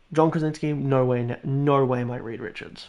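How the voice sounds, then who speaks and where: Animated in tone, a man speaks at a medium pitch and a moderate pace. His pitch variation is ordinary. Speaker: gaming streamer. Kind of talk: live stream chat. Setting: at home, housemates asleep. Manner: quieter, lowered voice; animated, rambling.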